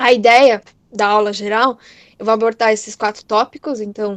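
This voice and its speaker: A woman speaks in a monotone, flat intonation. The sound is dry and close, with no echo. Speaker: chemistry teacher. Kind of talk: lecture. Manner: fast.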